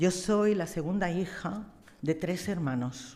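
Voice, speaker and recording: Her tone dark and mellow, a woman speaks at a fairly slow pace with a fairly low pitch and ordinary pitch variation. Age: 60s. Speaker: astrologer. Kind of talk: tribute speech; reading aloud. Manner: halting.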